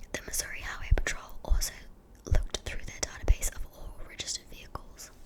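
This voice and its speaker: A woman whispers in a New Zealand accent at a moderate pace. Noticeable background noise is present. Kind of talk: ASMR true crime narration. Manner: whispered.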